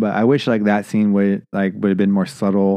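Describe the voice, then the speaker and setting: In a dark, mellow tone, the speech moves at a moderate pace over a quiet background. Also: man. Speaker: podcast host. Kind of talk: casual movie review chat.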